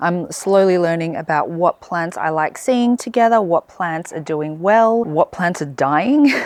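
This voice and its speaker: A woman speaks in an Australian accent with a fairly low pitch. Her pace is moderate and her pitch variation ordinary. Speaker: gardening vlogger. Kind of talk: casual garden vlog.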